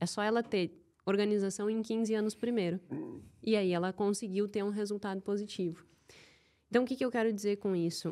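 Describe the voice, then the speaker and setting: A woman with a southern Brazilian accent speaks in a dark, mellow tone with fairly even intonation. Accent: gaúcho accent, kept. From southern Brazil, Rio Grande do Sul (Santa Maria). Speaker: behavioral finance specialist and CFO. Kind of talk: podcast interview.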